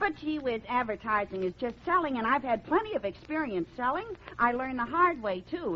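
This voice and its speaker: The speaker's pitch swings very widely at a fairly quick pace. Noticeable background noise sits underneath. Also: woman. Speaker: radio comedian. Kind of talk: old-time radio comedy sketch. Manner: eager, fast-talking, comedic.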